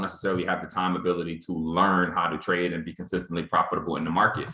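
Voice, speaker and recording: A man's very deep, low voice at a very fast pace. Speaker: trading trainer. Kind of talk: online training presentation.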